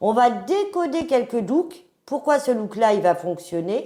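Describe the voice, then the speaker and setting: Speaking at a very slow pace, a woman lets her voice move through very wide pitch swings. She rises and falls sharply in pitch throughout. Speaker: image consultant. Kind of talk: interview.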